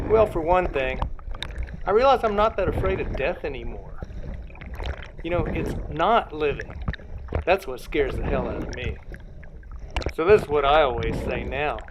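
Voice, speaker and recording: A man speaks at a moderate pace with long, frequent pauses. There is noticeable background noise. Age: 60s. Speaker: artist and cyclist with muscular dystrophy. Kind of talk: personal storytelling monologue. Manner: animated.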